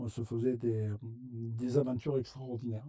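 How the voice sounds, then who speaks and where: A man's dark, mellow voice at a fairly slow pace. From southern France, Gard (Aramon), Italian parents. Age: 70s. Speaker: food bank president, retiree. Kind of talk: interview. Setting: web TV interview. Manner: halting, many hesitations.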